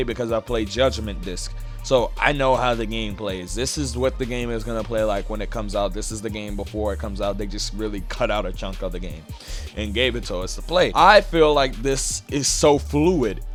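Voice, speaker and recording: This man talks at a moderate pace. Behind him, music is playing. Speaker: gaming YouTuber. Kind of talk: casual talk to camera. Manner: casual, uses filler 'you know'.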